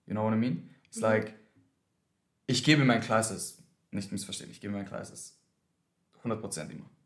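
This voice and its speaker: At a moderate pace with long, frequent pauses, the voice shows big swings in loudness and ordinary pitch variation against audible room echo. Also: man, fairly low pitch for a man. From Austria, Vienna. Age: 20s. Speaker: dancer and dance teacher. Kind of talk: casual chat. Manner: mixes German and English.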